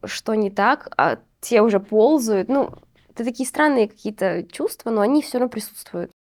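An unremarkable speaking voice moves at a fairly slow pace with ordinary pitch variation. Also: woman. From Uzbekistan. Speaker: podcast host, postnatal fitness trainer. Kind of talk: casual interview chat.

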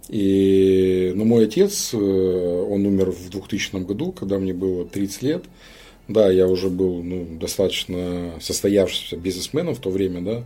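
At a fairly slow pace, a man speaks in a very deep, low, dark and mellow voice with fairly even intonation. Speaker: businessman. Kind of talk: interview conversation.

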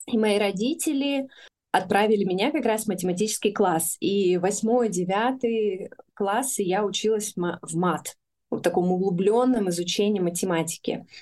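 A woman of medium pitch has a plain, everyday voice with ordinary pitch variation. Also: moderate pace. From Russia, Urals (Chelyabinsk region). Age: 30s. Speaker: women's community founder. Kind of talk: interview.

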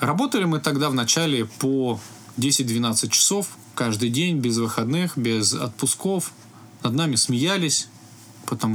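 A man with an unremarkable speaking voice talks fairly slowly, his intonation lively. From Russia, Altai Krai (Biysk). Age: 30s. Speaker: IT company founder. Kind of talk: interview.

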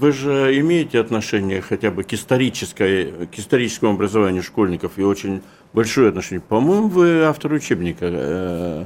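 Over a very clean, silent background, a man with a fairly low pitch talks at a fairly quick pace, his pitch swinging very widely. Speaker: radio interviewer, editor-in-chief. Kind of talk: radio interview.

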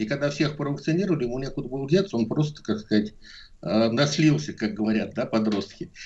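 A man with a medium-pitched, somewhat breathy voice speaks at a fairly quick pace with lively intonation. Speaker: epidemiologist. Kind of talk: radio interview.

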